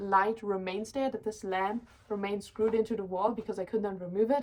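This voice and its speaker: A woman speaks with a German accent. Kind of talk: casual chat.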